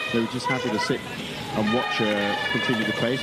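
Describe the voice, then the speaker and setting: A man rushes through his words at a very fast pace, with noticeable background noise behind him. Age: 50s. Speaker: mountain bike race commentator. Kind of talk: live commentary.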